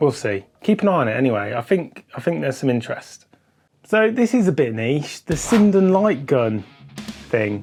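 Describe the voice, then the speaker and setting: Someone speaks at a moderate pace over music in the background. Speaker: retro gaming YouTuber. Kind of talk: casual talk to camera.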